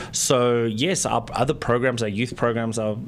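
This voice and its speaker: A South African accent with fairly even intonation, over noticeable background noise. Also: man. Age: 40s. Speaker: nonprofit executive director. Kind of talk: radio interview. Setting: radio studio.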